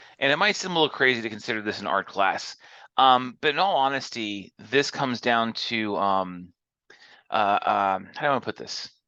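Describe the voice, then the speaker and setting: Loud, with a bright, sharp tone, a man at medium pitch speaks with lively intonation against a quiet background. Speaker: college instructor. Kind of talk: lecture. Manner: loud and animated; fast.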